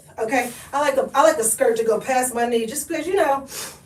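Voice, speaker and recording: A woman's animated, high-pitched voice with an American accent, fairly quick in pace, over noticeable background noise. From Oklahoma. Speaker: lifestyle vlogger. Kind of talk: live stream chat.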